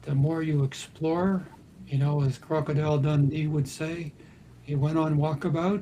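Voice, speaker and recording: A man speaks at a moderate pace with a fairly high pitch and a dark, mellow tone. His intonation is monotone and flat, and his voice is somewhat breathy. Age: 70s. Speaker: talk show host and dream interpreter. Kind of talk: live talk show discussion.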